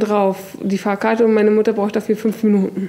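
A woman's fairly high voice holds a monotone, flat intonation at a moderate pace. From northern Germany, Hamburg; Germany. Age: 20s. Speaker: kitchen assistant and literacy self-help group member; interviewee. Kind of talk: interview testimony; interview answer. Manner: hesitant, many fillers. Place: classroom. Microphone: camera far.

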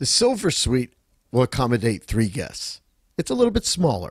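A man with a plain, everyday voice talks at a fairly quick pace and medium pitch. The recording is very clean with a silent background, dry and close with no echo. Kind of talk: travel ship tour presentation.

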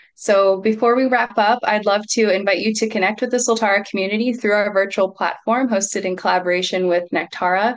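A woman talks at a fairly quick pace with hardly any pauses. Her intonation is fairly even. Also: very even loudness. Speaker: retreat center executive hosting Q&A; event host. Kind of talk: event moderation. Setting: video call. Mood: warm, friendly. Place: home room. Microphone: video call.

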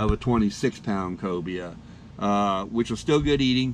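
A man speaks in a plain, everyday voice, keeping a moderate pace. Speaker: fishing vlogger. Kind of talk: casual narration.

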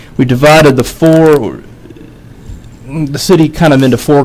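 A man's fairly even intonation and moderate pace come through amid noticeable background noise. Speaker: city department head. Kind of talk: presentation to city council. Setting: council work session. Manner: halting, many fillers.

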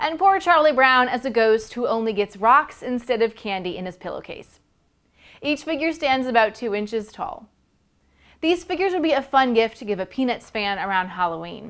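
Over a quiet background, a woman talks at a moderate pace in a high voice with very wide pitch swings. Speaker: toy reviewer. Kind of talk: product review presentation. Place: studio. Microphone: lapel.

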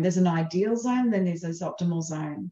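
A woman speaks at a moderate pace with ordinary pitch variation, her tone dark, mellow and somewhat breathy. Audible room echo surrounds her voice. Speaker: presenter or coach. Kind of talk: webinar talk. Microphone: headset.

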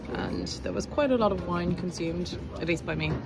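Clear music plays behind a woman whose speech holds a moderate pace. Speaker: food vlogger. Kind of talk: casual vlog chat. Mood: cheerful, relaxed. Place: bar. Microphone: phone near.

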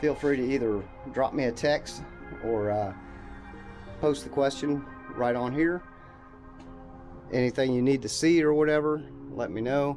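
Clear music plays in the background as a man speaks at a moderate pace with ordinary pitch variation and long, frequent pauses. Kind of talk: casual vlog chat. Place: bus. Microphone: phone near.

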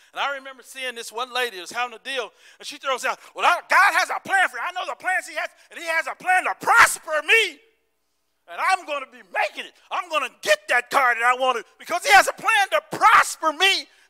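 A man with an extremely high pitch speaks at a fairly quick pace in an animated tone, his voice raised and projected. The background is quiet. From US South, Tennessee (Smoky Mountains). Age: old. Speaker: pastor. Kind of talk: sermon. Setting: church service with congregation. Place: church. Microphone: handheld.

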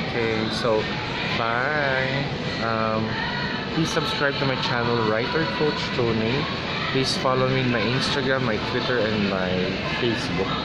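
Amid loud background noise, a man talks at a fairly slow pace with long, frequent pauses. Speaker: vlogger. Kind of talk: casual vlog chat. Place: cafe. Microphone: phone near.

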